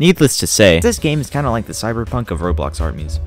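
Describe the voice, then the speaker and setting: Very fast talk from a man with fairly low pitch and very wide pitch swings, music in the background. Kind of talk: video game review voiceover. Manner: casual, joking.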